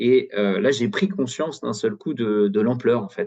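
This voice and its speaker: Speaking at a moderate pace, a man with a dark, mellow tone swings his pitch very widely. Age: 40s. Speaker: data consultant, climate volunteer. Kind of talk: webinar testimony. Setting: online webinar. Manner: hesitant, many fillers and repetitions.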